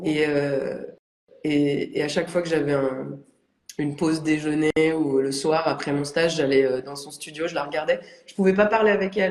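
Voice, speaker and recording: At a moderate pace, a woman speaks in a very deep, low voice with fairly even intonation and big swings in loudness. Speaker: ceramic artist. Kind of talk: casual interview chat. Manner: hesitant, many fillers.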